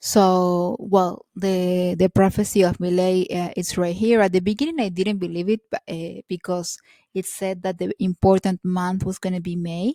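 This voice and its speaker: Over a silent background in a very clean, dry, close recording with no echo, a woman with a Spanish accent speaks at a medium pitch in a dark, mellow tone, with monotone, flat intonation, a moderate pace and hardly any pauses. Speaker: video blogger. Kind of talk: casual monologue to camera. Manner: halting, many fillers.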